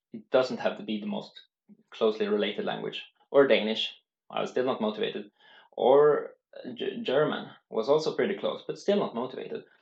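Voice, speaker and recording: A man with a Swedish accent speaks at a moderate pace. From Sweden. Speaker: language learning youtuber. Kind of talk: casual tutorial. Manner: halting.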